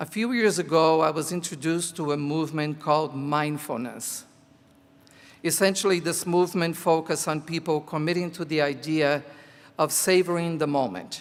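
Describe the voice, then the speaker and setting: On a very clean recording with a silent background, a man with a Portuguese accent talks at a moderate pace and fairly high pitch, with ordinary pitch variation. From Brazil. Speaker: teacher. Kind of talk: commencement speech. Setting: graduation ceremony.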